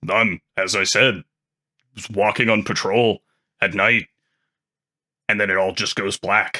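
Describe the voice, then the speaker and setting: In a raspy, put-on character voice pitched fairly low, a man speaks at a fairly slow pace with fairly even intonation and long, frequent pauses, the sound dry and close with no echo. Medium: actual play.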